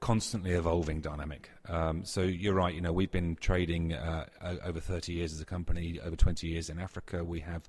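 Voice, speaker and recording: With hardly any pauses, a man talks at a fairly quick pace in a very deep, low voice on a very clean recording with a silent background. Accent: British. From UK. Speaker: technology executive. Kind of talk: interview.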